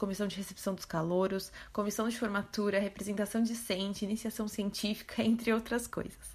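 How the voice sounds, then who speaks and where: Somewhat breathy and fairly high in pitch, a woman talks at a very fast pace with ordinary pitch variation. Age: 20s. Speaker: veterinary student. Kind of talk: testimony.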